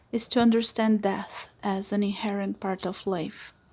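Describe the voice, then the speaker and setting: The speaker talks at a moderate pace with a dark, mellow tone and a Portuguese accent. The recording is very clean, with a silent background. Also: woman. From Brazil. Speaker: witch and occultist. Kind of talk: vlog voice-over narration.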